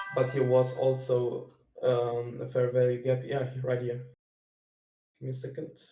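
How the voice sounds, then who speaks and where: With music in the background and audible room echo, a man talks at a fairly slow pace in a monotone, flat delivery full of long, frequent pauses. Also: medium pitch for a man. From Germany. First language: German. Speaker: day trader sharing analysis. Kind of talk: screen-share trading walkthrough. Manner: halting, many fillers.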